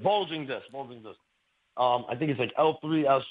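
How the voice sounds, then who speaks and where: A man with an unremarkable speaking voice, in an American accent, fairly high in pitch with ordinary pitch variation. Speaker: caller. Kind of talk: radio call-in. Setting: phone call.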